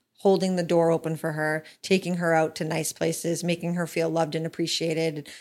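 Talking at a fairly quick pace with hardly any pauses, a woman holds a fairly low pitch in a monotone, flat intonation. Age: 30s. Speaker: podcast host's wife. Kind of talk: casual chat. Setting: studio.

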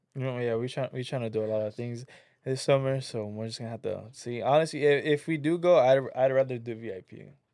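A man's medium-pitched voice, dark and mellow, at a very fast pace with big swings in loudness, ordinary pitch variation, and a very clean recording over a silent background. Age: 20s. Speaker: podcast guest, festival-goer. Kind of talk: casual chat.

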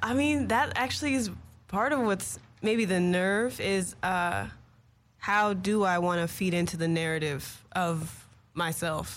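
In an American accent, a woman speaks at a fairly slow pace and medium pitch, with lively intonation, very even loudness and audible room echo. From Los Angeles, US. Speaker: singer-songwriter. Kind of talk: casual interview. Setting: studio.

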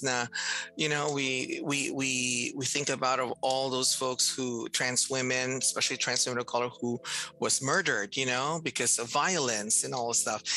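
With noticeable background noise behind her, a woman with a very deep, low pitch speaks at a moderate pace and fairly even intonation. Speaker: transgender health program manager. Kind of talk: casual chat.

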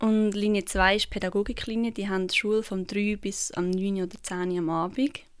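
This woman speaks with a central Swiss accent and fairly even intonation. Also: very clean recording, silent background. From Switzerland, canton Obwalden. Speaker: dance student. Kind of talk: interview.

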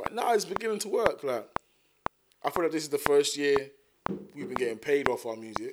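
A man's fairly high voice in a South London accent, with very wide pitch swings and long, frequent pauses. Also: fairly quick pace. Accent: South London, Multicultural London English. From South London, Thamesmead. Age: 30s. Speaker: rapper. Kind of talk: casual chat.

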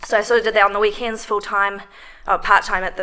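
In a New Zealand accent, a woman speaks at medium pitch with a bright, sharp tone. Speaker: strength coach. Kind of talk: casual interview.

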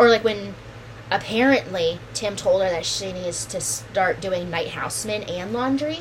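Over noticeable background noise, a woman at a medium pitch speaks at a fairly slow pace with lively intonation. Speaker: podcast co-host. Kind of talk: casual chat. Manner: joking, swearing.

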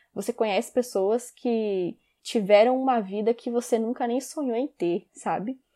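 This woman talks at a fairly slow pace with ordinary pitch variation and a fairly high pitch. Her dark, mellow tone comes through in a dry, close sound with no echo. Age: 20s. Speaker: podcaster. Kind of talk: personal monologue.

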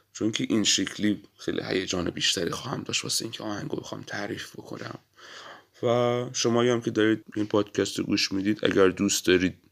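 With fairly even intonation and a fairly low pitch, a man talks very fast. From Iran, Abadan (Khuzestan). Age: 20s. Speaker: podcast host, musician. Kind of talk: solo podcast monologue.

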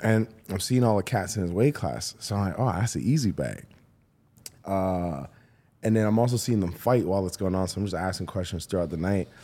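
Here a man talks at a fairly low pitch with ordinary variation. His tone is dark and mellow. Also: fairly quick pace. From Toronto area, Canada. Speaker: comedian and podcast host. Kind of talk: casual chat. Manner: laid-back, laughs often.

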